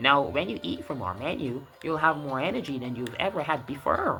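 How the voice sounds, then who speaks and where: A man puts on a character voice at a fairly high pitch and a moderate pace, with clear background noise. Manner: playful, promotional.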